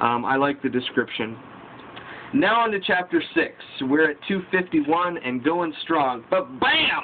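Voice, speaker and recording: Noticeable background noise behind a man's fairly high voice, lively in intonation and fairly slow in pace. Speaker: book vlogger. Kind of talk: casual book review vlog. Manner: reading from notes.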